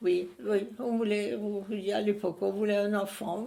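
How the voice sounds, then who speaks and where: Very slowly, a woman speaks at a medium pitch. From Alsace, Strasbourg area. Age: 90s. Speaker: elderly witness. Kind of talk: interview testimony. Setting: at her home. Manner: halting.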